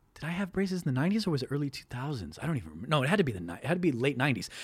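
A man's somewhat breathy, fairly high-pitched voice with lively intonation. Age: 30s. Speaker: podcast host guest. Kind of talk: casual chat. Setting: video call.

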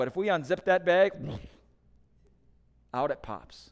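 With a Midwestern accent, a man talks at a moderate pace in a very clean recording with a silent background. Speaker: pastor. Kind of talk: sermon.

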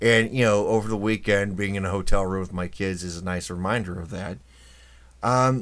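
On a very clean recording with a silent background, a man with a fairly low pitch uses lively intonation in an ordinary speaking voice. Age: 40s. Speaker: podcast host. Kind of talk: casual monologue.

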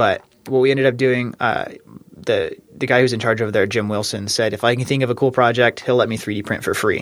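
A man with an American accent speaks at a fairly quick pace and medium pitch. His intonation is monotone and flat. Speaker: engineering student. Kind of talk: interview.

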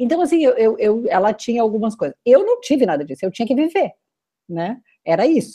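A woman speaks at a fairly quick pace with a high pitch and a dark, mellow tone. Her pitch swings very widely. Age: 50s. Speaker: mentor and coach. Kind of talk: casual chat. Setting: video call.

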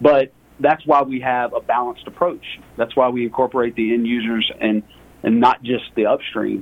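A man with an American accent speaks at medium pitch. His intonation is fairly even, and his pace is moderate. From US South, Lake Charles, Louisiana. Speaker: energy fund portfolio manager. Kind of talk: interview.

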